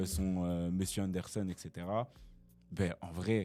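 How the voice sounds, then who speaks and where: With music in the background, the speaker keeps a fairly even intonation. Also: man. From Brussels, Belgium. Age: young. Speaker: rapper. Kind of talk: casual interview answer.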